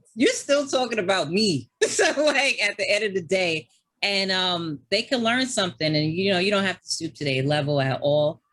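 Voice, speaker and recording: A woman with a New York accent speaks at a moderate pace in an animated tone. Her medium pitch makes very wide swings. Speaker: gamer and streamer. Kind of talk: casual chat. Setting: podcast.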